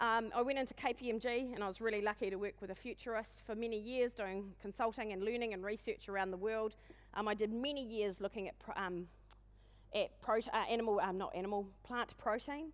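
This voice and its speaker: This speaker has a New Zealand accent and talks at a fairly quick pace. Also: woman, fairly high pitch for a woman. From New Zealand, west coast of the South Island. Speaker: conference speaker, agribusiness consultant. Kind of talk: conference talk. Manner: fast; animated.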